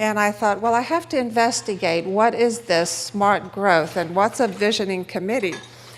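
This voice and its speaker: Noticeable background noise sits behind a woman at medium pitch with ordinary pitch variation and very even loudness. She keeps a moderate pace with hardly any pauses. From Romania. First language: Romanian. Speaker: economist speaker. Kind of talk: conference talk.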